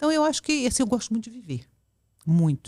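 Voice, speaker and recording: On a very clean recording with a silent background and a dry, close sound with no echo, a woman speaks at a fairly high pitch with very wide pitch swings. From central Brazil, Goiânia (born in Porto Velho). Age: 60s. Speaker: public official, women's rights activist. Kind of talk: casual interview chat. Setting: podcast studio. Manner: talkative.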